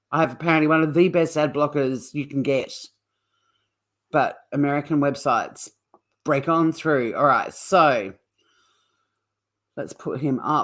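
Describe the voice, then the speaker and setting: With an Australian accent, a woman speaks at a very deep, low pitch and a fairly slow pace, with fairly even intonation and long, frequent pauses, in a very clean recording with a silent background. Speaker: true crime streamer, former criminal lawyer. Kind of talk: live stream commentary. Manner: casual, chatty.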